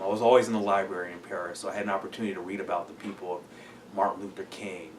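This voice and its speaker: Over noticeable background noise, a man with a fairly low pitch talks at a very fast pace in a monotone, flat intonation, with big swings in loudness. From Perris, California. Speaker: city council member and lawyer. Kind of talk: interview answer.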